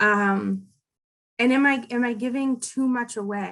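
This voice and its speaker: This is a woman speaking. Her pitch sits fairly high. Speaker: data privacy expert. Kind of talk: interview. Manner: loud.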